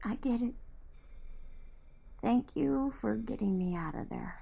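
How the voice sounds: In a put-on character voice, a woman talks slowly at a fairly high pitch with lively intonation, vocal fry and a dark, mellow tone.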